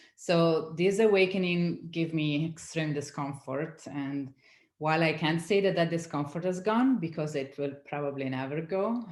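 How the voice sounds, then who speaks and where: A woman speaks in an Italian accent at a moderate pace, her pitch fairly low with ordinary variation. The room has an audible echo. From Italy. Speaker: science community manager. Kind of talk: interview.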